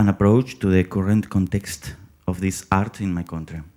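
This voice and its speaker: With a Spanish accent, a man speaks in a dark, mellow tone. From Peru. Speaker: theater director and acting teacher. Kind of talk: conference presentation read from script.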